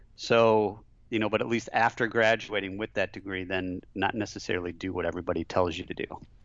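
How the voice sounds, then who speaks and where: A man's fairly low voice with an American accent, very fast pace and fairly even intonation. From Michigan, near Flint. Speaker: franchise business developer. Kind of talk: interview.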